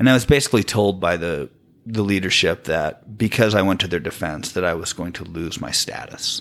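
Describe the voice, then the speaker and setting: With an American accent, a man speaks at a fairly quick pace in a very deep, low pitch with ordinary pitch variation. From Utah County, Utah. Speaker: guest telling his story of leaving Mormonism. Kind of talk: casual interview chat. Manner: quiet talker, soft-spoken.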